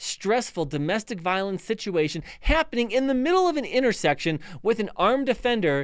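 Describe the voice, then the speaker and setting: A man talks at a fairly quick pace with lively intonation and an American accent. The recording is very clean, with a silent background. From Chicago area, US Midwest. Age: 40s. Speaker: police officer and legal commentator. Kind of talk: live stream commentary. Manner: halting, many fillers and repetitions.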